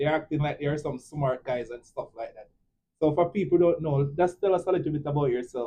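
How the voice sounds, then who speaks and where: A man with a strong Jamaican accent, fairly high in pitch and somewhat breathy, with ordinary pitch variation and a fairly quick pace. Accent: thick Jamaican. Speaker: nurse, podcast host. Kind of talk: casual chat.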